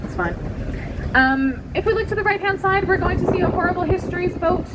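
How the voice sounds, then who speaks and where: A woman's animated, very fast speech amid audible room echo and noticeable background noise. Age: 30s. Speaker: tour guide. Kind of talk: guided tour commentary. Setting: on a tour bus in London. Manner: loud.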